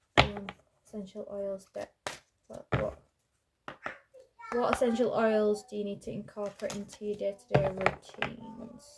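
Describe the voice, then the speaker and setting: Soft-spoken delivery moves at a moderate pace, broken by long, frequent pauses. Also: woman. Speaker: tarot card reader. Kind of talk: card reading.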